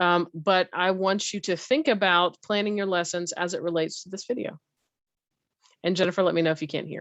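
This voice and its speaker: Fairly quick and fairly even in intonation, a woman talks at a medium pitch. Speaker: teacher presenting a workshop. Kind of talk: online teacher training session. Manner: fast.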